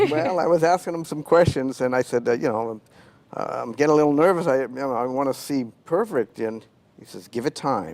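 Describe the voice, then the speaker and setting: A man is speaking here. His intonation is lively and his pace fairly quick. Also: medium pitch for a man. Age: 60s. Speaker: patient. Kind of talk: tv interview. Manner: halting.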